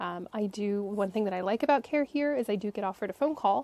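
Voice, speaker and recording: A woman speaks at a fairly high pitch with ordinary pitch variation, her dark, mellow tone caught in a dry, close sound with no echo. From United States. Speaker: vlogger, expat patient with chronic illness. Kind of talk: casual talk to camera.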